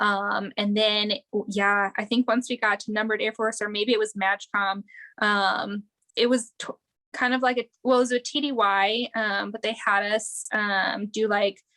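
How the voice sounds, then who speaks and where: A woman's fairly high, bright, sharp voice in monotone, flat intonation at a moderate pace, with a dry, close sound and no echo. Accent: slight Wisconsin. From Wisconsin, near Green Bay. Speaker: air force veteran, combat medic. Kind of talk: casual interview.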